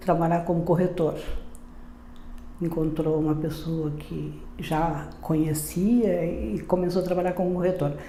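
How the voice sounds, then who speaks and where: A woman's fairly low voice, with noticeable background noise and audible room echo. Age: 80s+. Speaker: retired teacher, company co-founder. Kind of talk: interview testimony. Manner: halting, many fillers.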